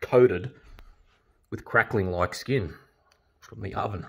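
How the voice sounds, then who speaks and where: A somewhat breathy male voice proceeds at a moderate pace with a quiet background behind it. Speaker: home cook vlogger. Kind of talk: casual vlog chat. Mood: delighted, enthusiastic. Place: home room. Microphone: phone near.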